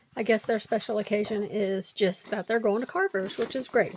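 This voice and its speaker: A woman speaks at a fairly high pitch and a fairly quick pace. Noticeable background noise runs underneath. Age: 50s. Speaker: craft video creator. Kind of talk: casual craft tutorial chat. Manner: chatty, rambling with fillers.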